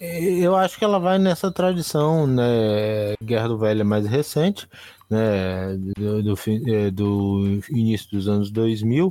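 At a very slow pace and very even loudness, a man's medium-pitched voice makes very wide pitch swings. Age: 40s. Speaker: podcast co-host. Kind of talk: casual chat.

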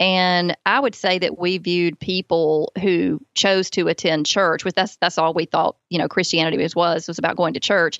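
Hardly pausing, a woman with a Southern US accent speaks in a fairly low pitch with fairly even intonation. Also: moderate pace. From US South, Alabama. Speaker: author and parenting speaker. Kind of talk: testimony.

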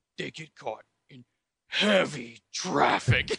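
A man's gruff, raspy put-on character voice, fairly high and very slow. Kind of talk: theatrical movie trailer. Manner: dramatic.

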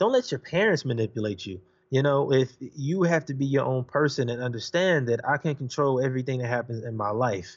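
An ordinary speaking voice from a man with an American accent, medium-pitched with ordinary pitch variation and hardly any pauses. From Los Angeles, California (Watts, Compton). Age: 20s. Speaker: author and podcaster. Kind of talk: interview.

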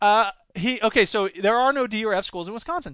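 A man with an American accent, bright and sharp in tone, ordinary pitch variation, a dry, close sound without echo, and a quiet background. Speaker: podcast host and high school teacher. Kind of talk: solo podcast monologue reading news and commentary. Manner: rambling, self-deprecating.

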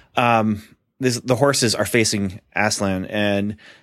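Quiet background behind an unforced reading voice

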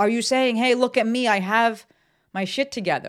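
The voice has an animated tone. The recording is very clean, with a silent background. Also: woman. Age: 30s. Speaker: podcast host and business coach. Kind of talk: casual solo podcast monologue.

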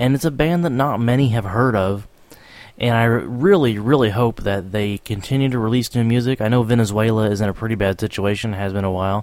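Enthusiastic in tone, a man at medium pitch speaks at a fairly quick pace with ordinary pitch variation. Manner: chatty and rambling, warmly informal, chuckles between track intros.

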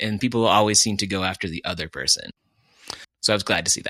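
A man with an American accent speaks at a fairly low pitch in a bright, sharp tone. The recording is very clean and dry, close-sounding, with a silent background and no echo. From US Upper Midwest (Fargo, North Dakota). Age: 40s. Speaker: podcast co-host. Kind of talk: casual chat.

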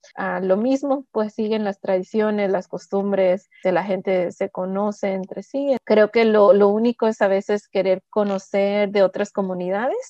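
A woman's voice at medium pitch with fairly even intonation. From Pacific Northwest US, raised from age 4-5. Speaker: community worker. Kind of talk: interview. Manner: hesitant.

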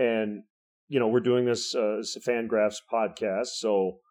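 Against a quiet background, a man speaks in a plain, everyday voice at a medium pitch with ordinary pitch variation. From Michigan. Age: 50s. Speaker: baseball radio play-by-play announcer. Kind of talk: casual chat.

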